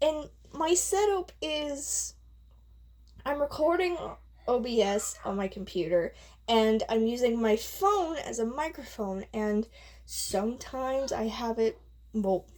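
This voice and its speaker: A quiet, high-pitched woman's voice at a very slow pace, with very wide pitch swings and long, frequent pauses. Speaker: gaming youtuber. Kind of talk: casual vlog rambling. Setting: home bedroom recording. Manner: rambling, halting.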